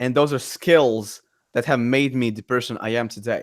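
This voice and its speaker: A man at medium pitch with a Latvian accent and ordinary pitch variation, in a very clean recording with a silent background. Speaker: entrepreneur and content creator. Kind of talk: casual podcast chat. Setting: live stream. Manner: halting, many repeated words.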